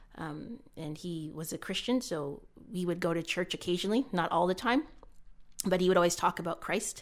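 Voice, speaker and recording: A normal speaking voice with a Canadian accent moves at a moderate pace with ordinary pitch variation. The recording is very clean, with a silent background. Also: woman, fairly low pitch for a woman. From Canada. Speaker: former Olympic athlete. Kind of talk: casual chat.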